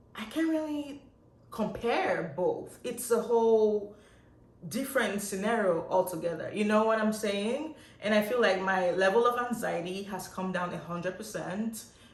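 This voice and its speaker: In an animated tone, a woman with a fairly high pitch speaks at a moderate pace, with audible room echo and noticeable background noise. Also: ordinary pitch variation. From Nigeria. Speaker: nurse. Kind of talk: vlog monologue.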